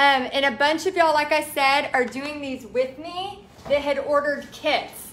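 At a moderate pace, a woman speaks in a raised, projected voice. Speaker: art instructor. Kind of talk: casual live-stream chat. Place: home room. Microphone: phone near.

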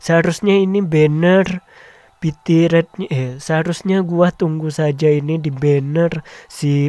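Speaking at a fairly slow pace, a man with a fairly high pitch and slightly mellow tone shows ordinary pitch variation.

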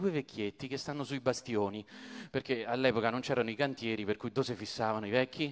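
Talking at a very fast pace, a man sounds animated. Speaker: stand-up comedian. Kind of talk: stand-up comedy retelling the Iliad with jokes. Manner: animated, jokey, mimicking characters' voices with comic asides; conversational, casual, colloquial and digressive. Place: stage. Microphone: handheld.

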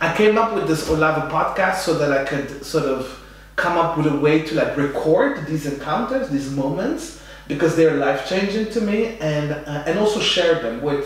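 Strong room echo surrounds a man talking at a moderate pace with ordinary pitch variation. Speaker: podcast host. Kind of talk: interview introduction. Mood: warm, enthusiastic. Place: home room.

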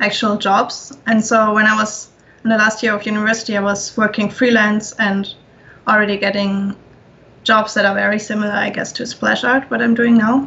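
A woman at a moderate pace, flat and monotone. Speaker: concept artist. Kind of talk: casual chat. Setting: video call. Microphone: video call.

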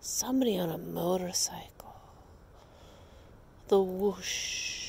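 Whispering at a very slow pace. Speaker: meditation guide. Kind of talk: guided meditation. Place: garden.

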